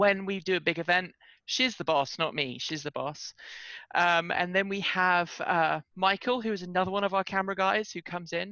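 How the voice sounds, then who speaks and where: Moving at a moderate pace, a woman talks at a medium pitch with ordinary pitch variation. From Britain. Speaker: journalist and podcast host. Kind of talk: interview conversation. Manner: animated.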